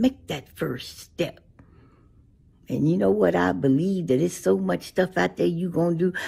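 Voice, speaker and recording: A woman with a very deep, low pitch and very wide pitch swings, a warm tone, vocal fry and a moderate pace. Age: 80s+. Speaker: social media elder. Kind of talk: motivational talk to camera. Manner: warm, affectionate. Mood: warm, encouraging. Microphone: phone near.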